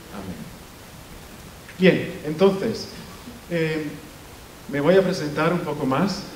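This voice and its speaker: Amid noticeable background noise and audible room echo, a man with a high voice speaks at a very slow pace, with big swings in loudness and long, frequent pauses. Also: ordinary pitch variation. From Italy. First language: Italian (speaking Spanish). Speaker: professor. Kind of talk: lecture. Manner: halting, frequent self-corrections.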